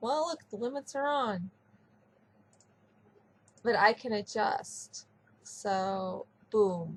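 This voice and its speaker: A woman speaks very slowly, with long, frequent pauses and lively intonation. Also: fairly high pitch for a woman. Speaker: 3D artist, webcomic creator. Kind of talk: casual software tutorial talk.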